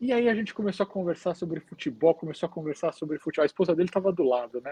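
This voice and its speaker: A very fast pace with ordinary pitch variation, dry, close sound with no echo, and a quiet background. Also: man. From Brazil. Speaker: hospital chaplain. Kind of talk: podcast interview, storytelling. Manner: hesitant, many fillers.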